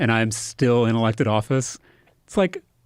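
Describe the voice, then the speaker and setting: A normal speaking voice from a man at medium pitch and moderate pace, on a very clean recording with a silent background. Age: 30s. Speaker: state politician. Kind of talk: podcast conversation.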